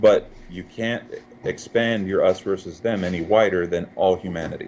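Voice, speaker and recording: Fairly even intonation marks a man's speech. He goes at a moderate pace. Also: fairly low pitch for a man. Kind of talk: interview answer.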